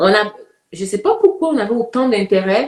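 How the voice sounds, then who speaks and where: Her pitch swinging very widely, a woman talks at a fairly slow pace. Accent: Ivorian. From Côte d'Ivoire. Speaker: community activist. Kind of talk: interview.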